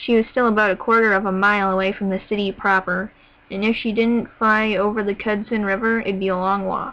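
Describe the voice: The passage is read aloud plainly, the intonation staying fairly even.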